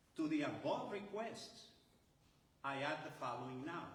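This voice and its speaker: There is audible room echo around a man speaking. He keeps a moderate pace with ordinary pitch variation. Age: 70s. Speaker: retired chemical engineer, activist. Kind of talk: press conference speech. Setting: press conference. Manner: animated.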